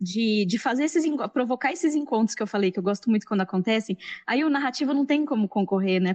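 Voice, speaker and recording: Speaking very fast with hardly any pauses, a woman with an interior São Paulo accent uses a fairly high pitch, lively intonation and very even loudness, the sound dry and close with no echo. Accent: caipira accent showing. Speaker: science journalist and podcast scriptwriter. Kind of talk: panel discussion. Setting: live-streamed event panel.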